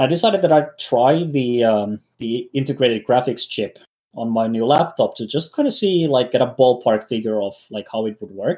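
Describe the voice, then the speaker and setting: A man with a medium pitch and a dark, mellow tone talks at a moderate pace. His intonation is lively, and he hardly pauses at all. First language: not English. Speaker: podcast co-host. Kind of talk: casual chat. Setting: home studio. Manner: halting, many fillers.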